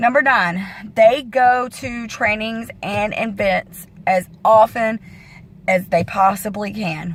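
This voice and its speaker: A woman with a medium pitch and a somewhat breathy voice speaks with ordinary pitch variation. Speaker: fitness coach. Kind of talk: casual vlog training talk.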